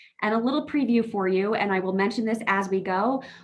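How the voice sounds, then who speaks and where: A woman speaks with an American accent. Her pace is fairly quick and her pitch varies in an ordinary way. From New York. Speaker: justice technical assistance consultant, former public defender. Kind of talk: presentation to a board meeting. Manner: fast.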